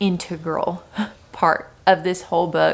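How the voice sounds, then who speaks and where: A woman speaks at a moderate pace in a medium pitch, her intonation flat and monotone. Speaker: book vlogger. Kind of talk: casual vlog talk to camera.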